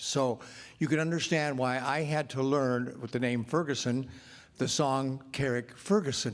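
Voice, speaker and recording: In an American accent, a man speaks at a medium pitch and fairly slow pace with fairly even intonation, and audible room echo in the recording. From Chicago, US. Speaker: journalist. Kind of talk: press conference question. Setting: press conference with audience.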